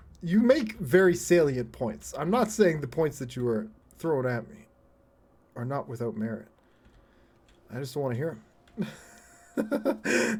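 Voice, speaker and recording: With lively intonation, the man keeps to a moderate pace. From Canada. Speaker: game streamer. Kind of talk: casual live gameplay chat. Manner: animated.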